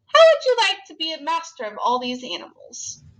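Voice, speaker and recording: In a put-on character voice, a woman squeaks at an extremely high pitch and a fairly quick pace. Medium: read story.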